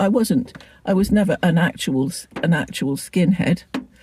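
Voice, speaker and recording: A woman with an English accent speaks at a medium pitch and moderate pace, her tone dark and mellow, somewhat breathy, with lively intonation. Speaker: lifestyle vlogger. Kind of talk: casual vlog chat. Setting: in a car. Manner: halting.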